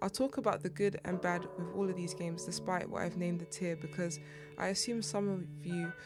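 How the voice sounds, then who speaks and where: With music in the background, a woman talks at a fairly quick pace. Her pitch is fairly low and her intonation fairly even. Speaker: gaming YouTuber. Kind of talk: gaming tier list commentary.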